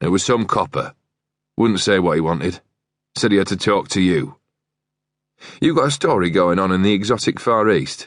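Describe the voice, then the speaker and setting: Putting on a character voice, a man speaks in a gravelly, growling voice at a fairly low pitch and a moderate pace, with long, frequent pauses over a quiet background. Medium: read story. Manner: growling, curt.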